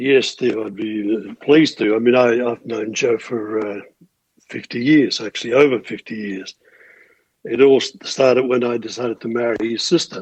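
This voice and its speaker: A man with an Australian accent keeps a fairly even intonation while his loudness swings widely. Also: medium pitch for a man, moderate pace. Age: 70s. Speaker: musician. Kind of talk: interview.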